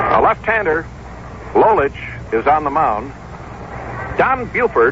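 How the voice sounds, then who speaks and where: Noticeable background noise sits behind the recording. A man talks very slowly over it. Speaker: baseball radio play-by-play announcer. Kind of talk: 1965 radio baseball play-by-play broadcast.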